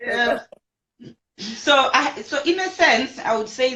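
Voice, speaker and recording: A woman speaks loudly. Her pitch swings very widely. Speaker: marriage ministry leader. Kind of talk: casual chat.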